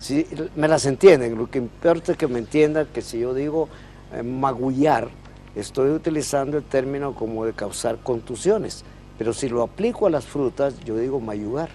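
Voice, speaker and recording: A man with a Honduran accent talks at a moderate pace. His pitch is medium, with ordinary variation. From Honduras. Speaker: professor of language and literature. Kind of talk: interview.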